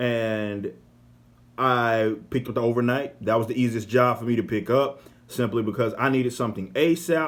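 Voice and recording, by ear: This man's voice sits at a medium pitch. He talks at a moderate pace.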